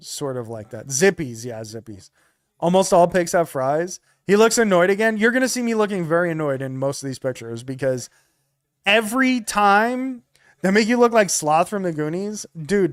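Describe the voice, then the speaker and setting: A man speaks at a moderate pace in a high voice, his tone animated, with very wide pitch swings and big swings in loudness. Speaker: streamer. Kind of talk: casual chat.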